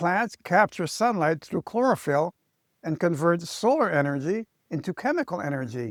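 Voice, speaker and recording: Very wide pitch swings from a man speaking at a fairly slow pace. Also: dry, close sound with no echo. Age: 70s. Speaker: chiropractor. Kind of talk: health advice talk to camera.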